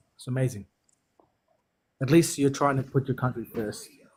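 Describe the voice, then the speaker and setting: With long, frequent pauses, a man speaks at a moderate pace and medium pitch in a somewhat breathy voice with ordinary pitch variation. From Fiji, New Zealand and Australia. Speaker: caller. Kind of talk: casual chat. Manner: halting.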